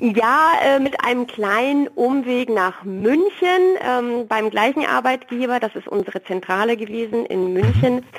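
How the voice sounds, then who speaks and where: Lively in intonation and very slow in pace, a woman speaks at a high pitch over noticeable background noise. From Franconia, Nuremberg. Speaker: food truck owner. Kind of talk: interview.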